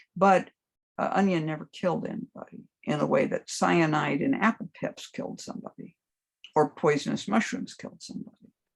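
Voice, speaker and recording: A woman speaks at a fairly quick pace with lively intonation and vocal fry. Her loudness swings a lot. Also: medium pitch for a woman. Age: 70s. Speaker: herbalist and hoodoo teacher. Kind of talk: casual chat.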